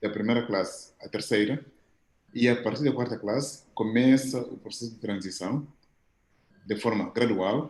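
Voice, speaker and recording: A man at a medium pitch speaks at a fairly slow pace with fairly even intonation, big swings in loudness, and long, frequent pauses. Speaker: professor. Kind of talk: audience question at video conference.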